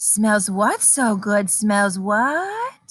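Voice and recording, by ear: A woman puts on a character voice at medium pitch. There is a hissing quality to it.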